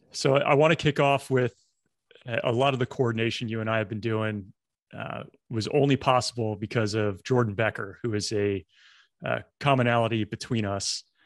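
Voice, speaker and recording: A man with an unremarkable speaking voice talks at a moderate pace with a medium pitch and ordinary pitch variation. The sound is dry and close, with no echo. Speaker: podcast host and former helicopter pilot. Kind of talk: podcast interview.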